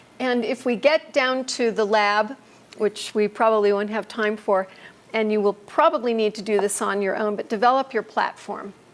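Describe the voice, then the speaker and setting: Fairly high in pitch, a woman speaks with an American accent in a plain, everyday voice. Her pace is moderate, with ordinary pitch variation. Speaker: ministry trainer. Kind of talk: lecture.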